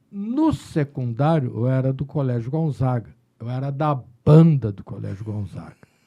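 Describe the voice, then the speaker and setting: At a moderate pace, a man speaks in a somewhat breathy voice with a dark, mellow tone and a medium pitch. His pitch variation is ordinary, while his loudness swings widely. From Rio Grande do Sul, Brazil (Pelotas). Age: 60s. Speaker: psychiatrist. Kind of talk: casual chat.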